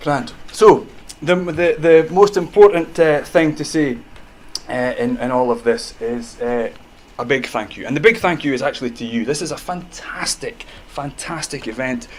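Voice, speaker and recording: Over noticeable background noise, a man with a Scottish accent speaks at a moderate pace with a fairly high pitch, very wide pitch swings and big swings in loudness. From Scotland. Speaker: medical professor. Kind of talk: public talk. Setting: stage with audience. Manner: animated.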